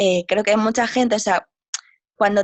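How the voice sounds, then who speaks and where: A woman with a plain, everyday voice talks at a fairly quick pace and a fairly high pitch. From Spain, Galicia (A Coruña). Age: 20s. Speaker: travel writer and yoga teacher. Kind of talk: interview.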